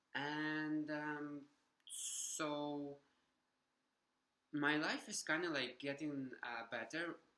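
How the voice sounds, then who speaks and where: Bright and sharp in tone, a man speaks at a medium pitch with a Ukrainian accent. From Ukraine. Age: 20s. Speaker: vlogger. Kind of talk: personal vlog testimony. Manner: halting, many fillers.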